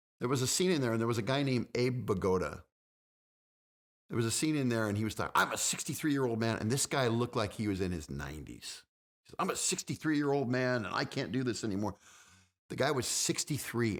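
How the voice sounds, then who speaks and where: A medium-pitched man talks at a very fast pace in an animated tone. His intonation is lively, and the recording is very clean with a silent background. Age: 50s. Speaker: fitness guest, reality TV personality. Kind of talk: casual chat. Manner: repetitive, stammering.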